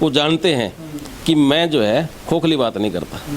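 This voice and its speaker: A voice with lively intonation plays over noticeable background noise. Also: man. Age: 60s. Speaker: local election candidate, retired education officer. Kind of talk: interview.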